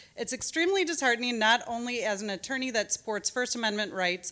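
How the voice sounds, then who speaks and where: A woman with a Michigan accent has a fairly high voice and a bright, sharp tone. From Rochester, Michigan. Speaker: attorney and parent speaking at public comment. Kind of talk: public comment at school board meeting. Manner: fast.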